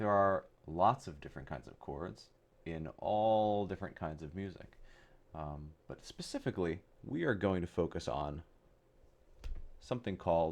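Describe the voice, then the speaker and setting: A soft-spoken man with a very deep, low pitch talks at a fairly slow pace, leaving long, frequent pauses. His loudness swings a lot, while his pitch variation is ordinary. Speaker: music teacher. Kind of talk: soft-spoken ASMR music theory tutorial.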